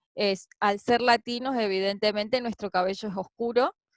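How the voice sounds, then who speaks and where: The voice has an Argentine accent and ordinary pitch variation. The sound is dry and close, with no echo. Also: woman. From Argentina (Patagonia). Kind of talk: interview answer.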